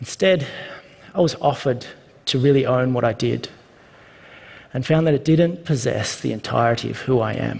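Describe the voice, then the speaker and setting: A man with an Australian accent, at a moderate pace, with long, frequent pauses. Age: 30s. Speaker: speaker sharing personal story. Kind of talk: prepared talk.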